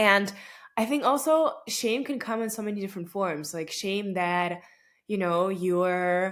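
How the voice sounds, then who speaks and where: Fairly slow speech from a woman at medium pitch with ordinary pitch variation, on a very clean recording with a silent background. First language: Russian. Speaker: podcast host. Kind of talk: casual monologue. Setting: recording at home late at night. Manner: conversational with many fillers.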